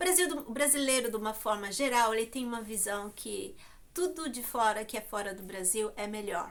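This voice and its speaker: With lively intonation, a woman speaks in a fairly high voice that has a bright, sharp tone. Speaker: YouTuber. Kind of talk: vlog monologue. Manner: hesitant, many fillers.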